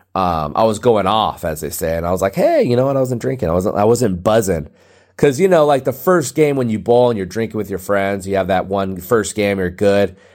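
A man speaks with lively intonation at a fairly low pitch. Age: 30s. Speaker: comedy podcast host. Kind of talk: casual monologue. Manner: rambling, repetitive.

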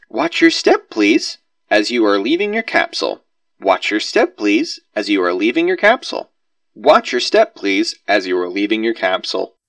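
In a put-on, robotic character voice, a man speaks at an extremely high pitch, raised and projected, at a moderate pace. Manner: mechanical, repetitive.

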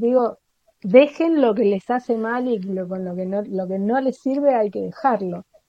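Here is an ordinary speaking voice with lively intonation. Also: woman. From Argentina. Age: 40s. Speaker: literary translator. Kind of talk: interview conversation.

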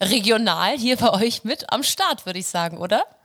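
With lively intonation, a woman talks in a normal speaking voice at a fairly high pitch. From Hamburg, northern Germany. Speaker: pop schlager singer and musical performer. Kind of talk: casual interview chat.

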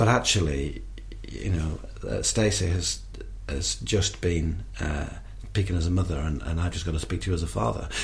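Lively in intonation, a man with a northern English accent speaks at a moderate pace with a very deep, low pitch. Noticeable background noise and audible room echo fill the recording. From northern England. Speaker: charity worker. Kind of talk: interview testimony. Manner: halting.

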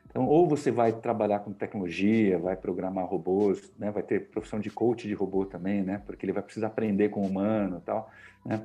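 Here a man talks at a moderate pace, his fairly low voice dark and mellow with ordinary pitch variation. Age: 50s. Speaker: communication mentor and journalist. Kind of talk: interview. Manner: hesitant, many filler words.

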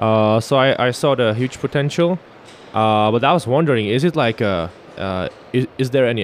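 A man with medium pitch and ordinary pitch variation speaks in an ordinary speaking voice. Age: 30s. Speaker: podcast host. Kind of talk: casual interview. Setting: trade fair booth.

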